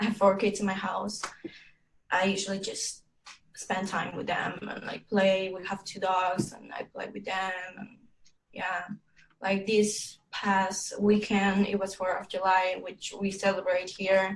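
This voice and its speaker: The loudness rises and falls sharply while the speech moves at a fairly slow pace in a flat, monotone intonation. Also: woman, medium pitch for a woman. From Mexico (Tabasco, Villahermosa). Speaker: language student. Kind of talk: oral exam conversation. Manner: halting.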